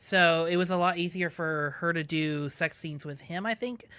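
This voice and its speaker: The tone is bright and sharp at a moderate pace. The recording is very clean with a silent background. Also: woman. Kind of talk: casual chat.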